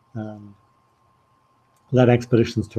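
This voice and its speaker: A man speaks at a fairly slow pace in a medium pitch. His tone is dark and mellow, with fairly even intonation. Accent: Liverpool. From northern England, Liverpool. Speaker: spiritual teacher and former mountain guide. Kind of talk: online talk with slides, self-presentation. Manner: halting, with fillers.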